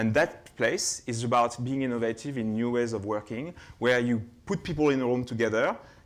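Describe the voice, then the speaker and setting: This man speaks at a fairly quick pace in a medium pitch with ordinary pitch variation. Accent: French. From France, Burgundy. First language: French. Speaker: keynote speaker, innovation lab head. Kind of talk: keynote presentation. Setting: conference stage with audience. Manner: hesitant, many fillers.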